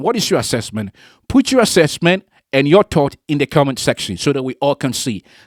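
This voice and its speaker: Someone with a non-native accent speaks fairly quickly on a very clean recording with a silent background. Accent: non-native English, foreign. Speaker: political commentary vlogger. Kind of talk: opinion monologue to camera. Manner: emphatic, repetitive.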